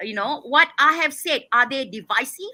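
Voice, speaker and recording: Her voice is raised and projected, with a bright, sharp tone and a high pitch. The woman speaks at a fairly slow pace with lively intonation. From Malaysia. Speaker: activist and independent political candidate. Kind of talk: interview. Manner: loud; forceful.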